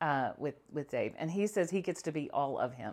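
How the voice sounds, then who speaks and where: A woman's warm, confident, fairly low-pitched voice at a moderate pace, with ordinary pitch variation and a quiet background. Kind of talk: podcast interview. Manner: warm, easy to listen to, confident.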